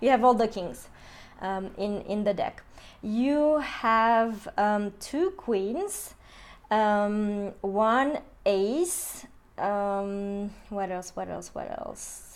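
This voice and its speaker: A woman with a non-native accent and a fairly high pitch speaks at a very slow pace. Her loudness swings widely while her pitch variation stays ordinary. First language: not English. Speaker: tarot and Lenormand card reader. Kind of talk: astrology card reading. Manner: hesitant, many fillers.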